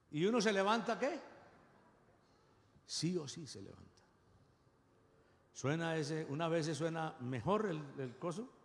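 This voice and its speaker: A man's fairly high voice, lively in intonation and animated in tone, at a fairly slow pace with long, frequent pauses, big swings in loudness and audible room echo. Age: 60s. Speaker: pastor. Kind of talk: sermon.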